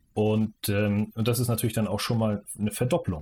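At a fairly quick pace, a man's somewhat breathy voice comes through. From Mecklenburg-Vorpommern, Schwerin. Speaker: football coach educator. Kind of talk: interview.

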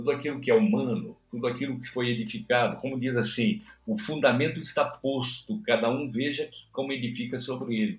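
A man's somewhat breathy, fairly quick delivery with lively intonation and big swings in loudness. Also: medium pitch for a man, hardly any pauses. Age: 70s. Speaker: pastor. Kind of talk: religious discussion. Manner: halting.

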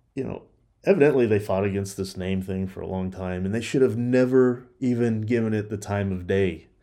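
A man with a Texan accent speaks at a moderate pace, his pitch fairly low and his tone dark and mellow. The recording is very clean, and the background is silent. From Texas, Dallas area. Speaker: podcast host. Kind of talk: political commentary monologue.

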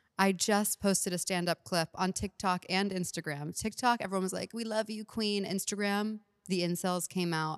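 A woman with an ordinary speaking voice talks at a medium pitch and moderate pace with an American accent, fairly even intonation and hardly any pauses, in a dry, close sound with no echo. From Texas, Houston. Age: 30s. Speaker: comedian. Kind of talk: casual chat.

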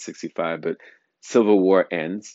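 Here is a man with an American accent and a very deep, low pitch. He keeps a moderate pace and fairly even intonation. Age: 40s. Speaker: podcast host. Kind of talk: solo monologue. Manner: halting, frequent uh fillers.

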